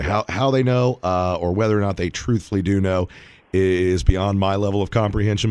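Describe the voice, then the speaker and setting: On a very clean recording with a silent background, a man uses a normal speaking voice, fairly low in pitch, with ordinary pitch variation and a fairly quick pace. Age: 40s. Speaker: financial advisor. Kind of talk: radio talk show.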